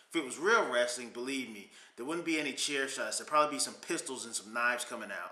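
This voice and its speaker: Male speech with normal pitch movement and a noticeable echo from the room. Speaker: vlogger. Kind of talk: casual vlog chat. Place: home room. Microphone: webcam.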